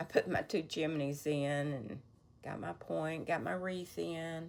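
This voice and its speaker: A woman speaks at a fairly slow pace in a very deep, low voice with ordinary pitch variation. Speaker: cross-stitch vlogger. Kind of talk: casual show-and-tell vlog. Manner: halting, self-correcting.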